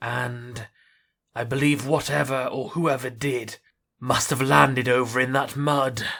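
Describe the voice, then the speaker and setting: Using a put-on character voice, a man talks at a medium pitch and a fairly slow pace with fairly even intonation. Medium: machinima. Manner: formal, measured.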